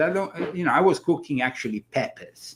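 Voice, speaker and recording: A man with an Italian accent, very wide pitch swings and a fairly quick pace. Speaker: talk show host. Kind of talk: casual chat. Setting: live stream.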